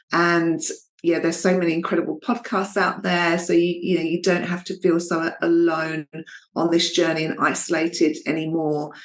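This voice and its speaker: At a moderate pace, a woman talks in a fairly low pitch with monotone, flat intonation. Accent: Essex. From Essex, England. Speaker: fertility coach. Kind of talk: interview.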